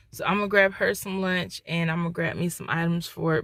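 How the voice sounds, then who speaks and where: A woman with an American accent and a fairly low pitch speaks at a fairly quick pace in a monotone, flat way. The recording is very clean, with a silent background. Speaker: vlogger. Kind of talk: casual vlog talk to camera. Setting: in a truck.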